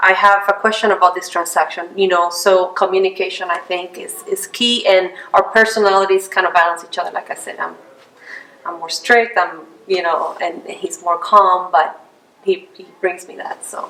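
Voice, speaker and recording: Over noticeable background noise, a woman with a non-native accent speaks at a medium pitch and a moderate pace, her intonation monotone and flat while her loudness swings widely. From outside the US. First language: not English. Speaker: realtor. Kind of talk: interview.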